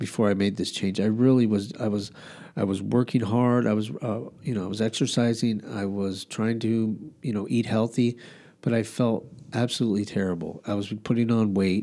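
A man's dark, mellow tone at a fairly low pitch, fairly even intonation and a moderate pace, on a very clean recording with a silent background. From Albuquerque, New Mexico. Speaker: podcast host. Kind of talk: casual chat.

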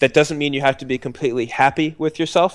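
A man with an unremarkable speaking voice and an American accent, fairly quick and fairly even in intonation, in a dry, close sound with no echo and a very clean, silent background. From Texas. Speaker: streamer and web video personality. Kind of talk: casual interview chat.

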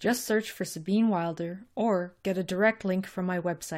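Simply a natural reading voice.

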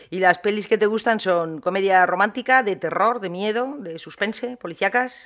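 Speaking at a moderate pace with hardly any pauses, a woman uses a plain, everyday voice at a medium pitch with ordinary pitch variation. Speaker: podcast host. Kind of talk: interview.

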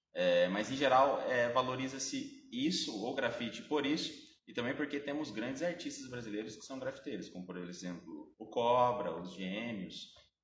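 Audible room echo surrounds a man speaking at a moderate pace. His intonation is lively, with big swings in loudness. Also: medium pitch for a man, hardly any pauses. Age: 20s. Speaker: art history teacher. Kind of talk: explanatory interview.

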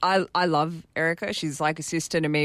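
With an Australian accent, a woman speaks in a very deep, low pitch and monotone, flat intonation on a very clean recording with a silent background. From Sydney North Shore, Australia. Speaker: amateur cricketer and new sports broadcaster. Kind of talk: interview.

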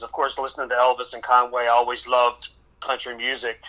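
A bright, sharp tone comes through at a moderate pace. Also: man. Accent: American. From Maryland, near Baltimore. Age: 50s. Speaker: tribute artist singer. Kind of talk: radio interview.

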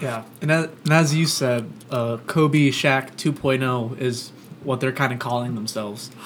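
A man with an American accent and a plain, everyday voice, medium in pitch, at a fairly slow pace with fairly even intonation. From Florida, Orlando. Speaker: sports podcast host. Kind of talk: casual chat. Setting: studio, across the table from co-host.

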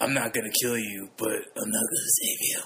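A man's raspy, put-on character voice at a medium pitch. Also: fairly quick pace. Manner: grim, threatening.

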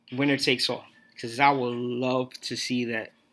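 Music in the background behind a man at a moderate pace, in an American accent. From New York City. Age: 30s. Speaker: podcast host. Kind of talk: solo podcast monologue, movie reviews.

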